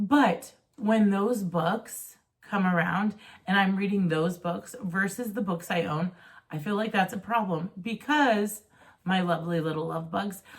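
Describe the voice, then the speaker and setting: A woman talks at a moderate pace in a medium pitch. Her voice is somewhat breathy, with ordinary pitch variation. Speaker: book vlogger. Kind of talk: casual chat. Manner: animated.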